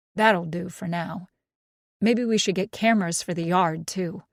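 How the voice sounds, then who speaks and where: This female-sounding voice is a raspy put-on character voice at a middle pitch. It moves at a moderate pace. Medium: read story. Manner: easygoing.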